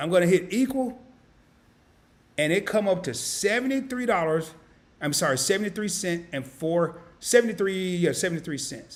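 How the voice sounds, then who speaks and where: An animated man with a Southern US accent, high pitch, moderate pace and lively intonation. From US South, Arkansas. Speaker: finance YouTuber. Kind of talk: live-stream tutorial. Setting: home studio live stream. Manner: casual, animated.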